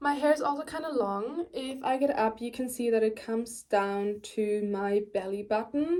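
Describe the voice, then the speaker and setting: Speaking with a German accent, a woman uses a dark, mellow tone and a fairly high pitch. Her pace is moderate, her pitch varies in an ordinary way, and she hardly pauses. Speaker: beauty vlogger. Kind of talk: tutorial. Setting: bedroom at grandparents' house. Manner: casual, filler-heavy.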